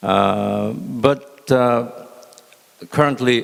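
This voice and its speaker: With a Korean accent, a man speaks at a medium pitch with ordinary pitch variation. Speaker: former ambassador, panelist. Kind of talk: panel presentation. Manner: halting, many fillers.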